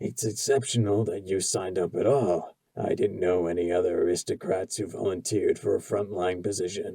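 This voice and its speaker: Doing a put-on character voice, a man sounds wheezy and raspy at a fairly low pitch. He keeps a moderate pace with hardly any pauses. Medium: read story. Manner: soft, calm, probing.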